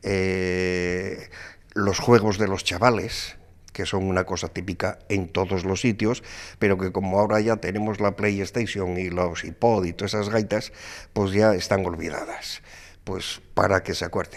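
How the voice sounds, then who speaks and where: In a very clean recording with a silent background, a man speaks fairly slowly in a fairly low, monotone, flat voice. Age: 70s. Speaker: author. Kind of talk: interview. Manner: hesitant, with fillers.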